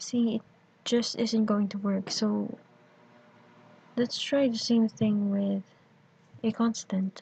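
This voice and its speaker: Very slow and monotone, a woman speaks in a fairly high pitch with a dark, mellow, somewhat breathy tone and flat intonation. Her pauses are long and frequent. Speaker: programming tutor. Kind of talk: screencast tutorial narration.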